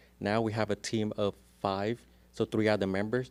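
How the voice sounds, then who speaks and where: The recording is very clean, with a silent background. A man talks in a fairly low voice. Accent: strong Vietnamese. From Vietnam. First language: Vietnamese. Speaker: real estate agent. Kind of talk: podcast interview. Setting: studio.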